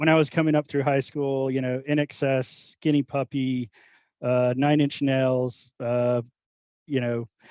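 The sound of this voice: In a dry, close recording with no echo, a man speaks fairly slowly at a medium pitch, his tone clear, smooth and slightly mellow, with little pitch movement.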